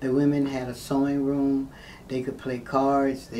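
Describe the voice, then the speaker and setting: In an American accent, a woman speaks at a very deep, low pitch with a monotone, flat intonation, amid audible room echo and noticeable background noise. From Florida, St. Petersburg. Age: 60s. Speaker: mayoral candidate. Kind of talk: interview.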